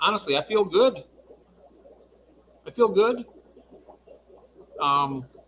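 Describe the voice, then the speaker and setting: A man with an American accent talks very slowly, leaving long, frequent pauses. His voice is high, with very wide pitch swings. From Michigan. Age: 60s. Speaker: livestream guest. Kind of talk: casual chat.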